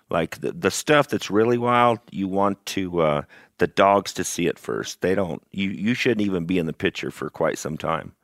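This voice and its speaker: Dry and close with no echo, this is a very clean recording with a silent background. A man with a plain, everyday voice talks at a moderate pace, fairly low in pitch with ordinary pitch variation. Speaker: houndsman who catches wild cattle. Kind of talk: casual chat.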